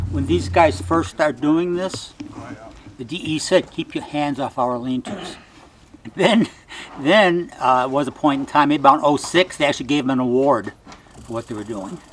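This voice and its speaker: The speaker has lively intonation and a moderate pace, with long, frequent pauses over noticeable background noise. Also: man, fairly high pitch for a man. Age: 70s. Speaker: volunteer. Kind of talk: interview.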